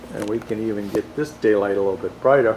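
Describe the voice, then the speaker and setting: Noticeable background noise sits behind a man's fairly low voice. He talks at a moderate pace with ordinary pitch variation. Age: 60s. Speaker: model railroad hobbyist. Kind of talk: video tour. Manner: casual, halting.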